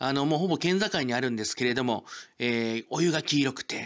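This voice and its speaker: An ordinary speaking voice from a man, medium in pitch with ordinary pitch variation, on a very clean recording against a silent background. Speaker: local culture YouTuber. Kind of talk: informative presentation. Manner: formal, filler-heavy.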